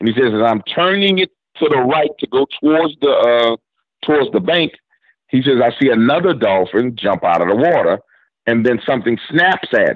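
With a New Orleans accent, a man of medium pitch talks at a moderate pace with lively intonation. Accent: New Orleans Southern US. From New Orleans, Louisiana. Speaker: YouTube horror storyteller. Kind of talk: interview with storytelling. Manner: animated.

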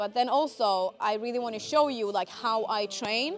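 A woman at a moderate pace, with ordinary pitch variation. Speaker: fitness content creator. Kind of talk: casual vlog chat. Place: gym.

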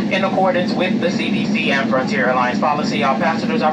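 The speech comes at a very fast pace. Loud background noise fills the recording. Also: man. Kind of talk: safety announcement. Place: plane.

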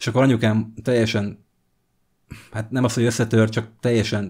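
A man talks with the background quiet. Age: 40s. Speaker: vlogger. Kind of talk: personal testimony vlog. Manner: halting, many fillers. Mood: reflective, telling childhood story. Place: home room. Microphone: studio mic.

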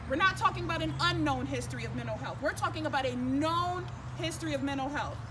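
Noticeable background noise sits behind this woman's voice. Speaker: activist spokesperson. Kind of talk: press conference statement. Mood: earnest, critical. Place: street. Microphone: podium.

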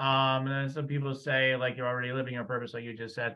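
A man speaks at a medium pitch. His tone is enthusiastic. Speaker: podcast host. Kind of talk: interview conversation. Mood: warm, interested. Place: home room. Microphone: studio mic.

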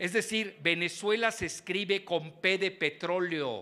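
A man's bright, sharp, high-pitched voice at a very slow pace, with ordinary pitch variation. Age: 70s. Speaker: geopolitical analyst; keynote speaker. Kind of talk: lecture. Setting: stage with audience. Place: hall. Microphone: handheld.

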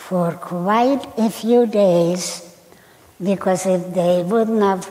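Her intonation stays fairly even as the woman talks. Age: 80s+. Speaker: Holocaust survivor. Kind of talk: personal testimony to live audience. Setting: auditorium stage. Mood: calm, somber recounting. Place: stage.

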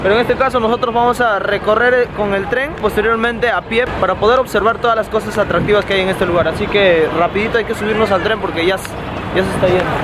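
Over crowd noise, a man talks at a very fast pace with hardly any pauses. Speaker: vlogger. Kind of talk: casual vlog chat. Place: street. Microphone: phone near.

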